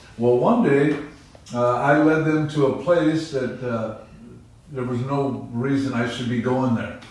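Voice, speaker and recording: A man talks at a fairly slow pace, with audible room echo and noticeable background noise around him. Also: medium pitch for a man. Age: 70s. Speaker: pastor. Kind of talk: testimony. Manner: animated.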